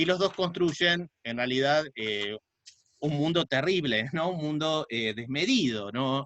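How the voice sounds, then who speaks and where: A man speaks at a very slow pace with lively intonation and a fairly high pitch. The sound is dry and close, with no echo. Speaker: sociology professor and researcher. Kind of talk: online talk/lecture. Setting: video call. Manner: hesitant, many filler 'eh'.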